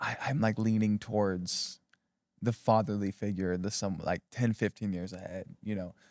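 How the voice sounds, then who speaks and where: In an ordinary speaking voice, a man talks at a moderate pace with a fairly low pitch and fairly even intonation, on a very clean recording with a silent background and a dry, close sound with no echo. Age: 20s. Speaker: pastor. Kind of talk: casual chat.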